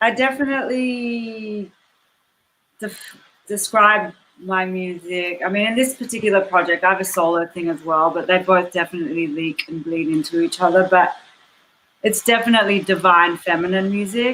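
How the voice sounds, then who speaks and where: A woman with an Australian accent speaks at a moderate pace. Her pitch is medium, with ordinary variation. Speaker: musician. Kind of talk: panel discussion.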